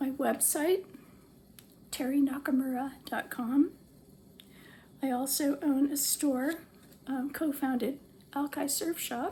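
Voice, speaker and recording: Very slowly and with long, frequent pauses, a woman speaks in a high pitch with fairly even intonation and a dark, mellow tone. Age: 70s. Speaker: social media user and author. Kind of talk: personal appeal to camera. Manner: hesitant, with frequent fillers.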